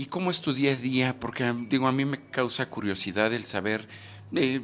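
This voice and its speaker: At a fairly slow pace and with ordinary pitch variation, a man talks over light background noise. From Mexico. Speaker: YouTube documentary interviewer. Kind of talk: street interview; scripted narration. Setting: outdoors. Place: home room. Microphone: handheld.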